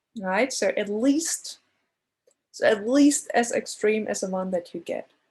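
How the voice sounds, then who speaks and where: Somewhat breathy, a woman with a non-native accent speaks at a fairly slow pace. Her pitch is fairly high, with ordinary variation. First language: not English. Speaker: statistics lecturer. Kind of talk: lecture. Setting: recorded class. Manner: halting, many fillers.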